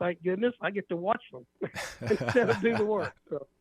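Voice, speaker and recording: A man speaks with a Southern US accent and lively intonation. The sound is dry and close, with no echo. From Arkansas, Ozarks. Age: 60s. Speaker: author. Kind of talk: radio interview. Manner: halting.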